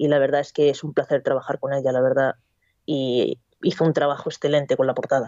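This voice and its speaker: A woman speaks at a fairly quick pace in a very deep, low pitch. Her intonation stays monotone and flat. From Basque Country, Spain. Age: 20s. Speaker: novelist and cook. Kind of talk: radio interview. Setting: Skype call.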